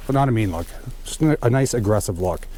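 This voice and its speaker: Moving at a fairly quick pace, a man talks in a dark, mellow tone with ordinary pitch variation. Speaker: off-road vehicle YouTuber. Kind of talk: product review and install tutorial. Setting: outdoors in a snowstorm. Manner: casual, lots of fillers.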